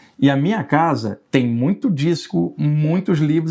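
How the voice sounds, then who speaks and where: Over a quiet background, a man with a plain, everyday voice talks at a fairly high pitch with ordinary pitch variation. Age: 60s. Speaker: spiritualist researcher and writer. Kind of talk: casual interview.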